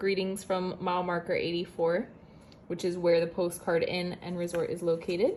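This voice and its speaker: A woman at medium pitch and a moderate pace. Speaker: travel vlogger. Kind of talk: room tour vlog. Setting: hotel room at night. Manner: whispering; casual.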